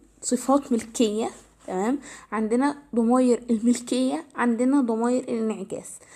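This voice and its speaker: Her tone dark and mellow, a woman with an Egyptian accent speaks in a high pitch. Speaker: English teacher. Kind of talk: tutorial. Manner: halting, with self-corrections.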